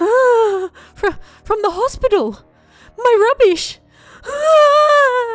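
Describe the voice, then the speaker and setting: A squeaky, put-on character voice at an extremely high pitch shouts at a very slow pace, with long, frequent pauses. Music plays in the background. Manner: panicked scream.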